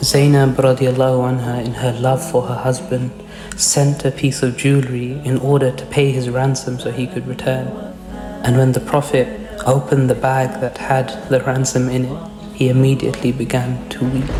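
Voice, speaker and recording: Soft-spoken and calm in tone, a man talks at a moderate pace and medium pitch while music plays in the background. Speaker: storyteller / narrator of Islamic history. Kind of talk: soft-spoken Islamic storytelling narration. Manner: soft-spoken, calm.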